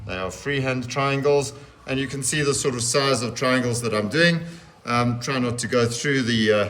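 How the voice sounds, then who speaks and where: Medium-pitched male voice at a moderate pace, fairly even intonation, and audible room echo. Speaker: teacher. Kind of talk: tutorial.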